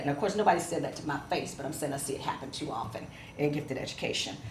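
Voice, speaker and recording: The voice carries an American accent over noticeable background noise and audible room echo. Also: woman. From Ohio, Cleveland. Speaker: professor. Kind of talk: lecture. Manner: fast.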